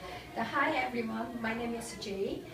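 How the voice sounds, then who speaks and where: A woman's voice with a Korean accent, amid noticeable background noise and audible room echo. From South Korea. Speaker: immigrant doctor. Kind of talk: personal presentation. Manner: halting, many fillers.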